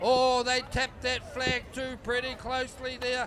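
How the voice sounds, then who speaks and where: Over noticeable background noise, a man speaks in a raised, projected voice at an extremely high pitch. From New Zealand. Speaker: race commentator. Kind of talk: live commentary.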